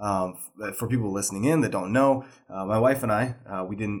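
At a fairly quick pace, a man with a plain, everyday voice speaks with fairly even intonation on a very clean recording with a silent background. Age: 30s. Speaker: podcast host. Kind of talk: interview conversation.

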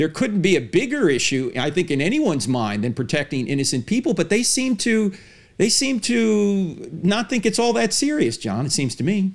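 At a moderate pace, a man speaks in a high pitch with very wide pitch swings. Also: very clean recording, silent background. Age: 60s. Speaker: podcast host, apologist. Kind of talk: interview; monologue.

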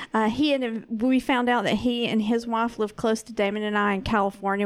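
This very clean recording has a silent background. A woman with a fairly high pitch speaks at a moderate pace with fairly even intonation. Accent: Southern US. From US South. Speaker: co-host of another show, producer. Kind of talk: casual chat.

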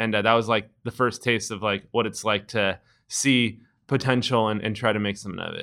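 Speaking in a Californian accent, a man talks at a fairly quick pace and fairly low pitch with monotone, flat intonation. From US West Coast, San Francisco Bay Area. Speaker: entrepreneur, skate shop co-founder. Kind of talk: casual interview.

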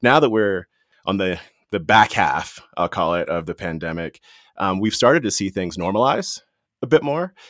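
Recorded very cleanly over a silent background, with a dry, close sound and no echo, a man with an American accent and a plain, everyday voice talks at a moderate pace in a fairly low pitch with lively intonation. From Washington, D.C. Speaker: corporate executive. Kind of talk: interview.

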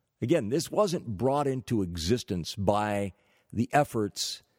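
Very slow male speech, fairly low in pitch, with ordinary pitch variation, in a very clean recording with a silent background and a dry, close sound with no echo. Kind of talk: commentary rant. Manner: indignant, fiery, emphatic, hammering each accusation; sarcastic, dripping with mock praise.

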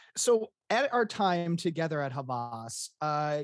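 Against a quiet background, a man speaks with lively intonation in a fairly high voice, the sound dry and close with no echo. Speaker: podcast host. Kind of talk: interview conversation. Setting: remote virtual recording. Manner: excitable.

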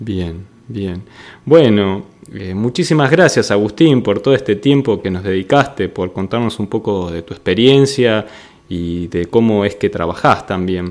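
Lively intonation marks a man's fairly slow, fairly low-pitched delivery in an unremarkable speaking voice. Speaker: podcast host and interviewer. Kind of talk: interview.

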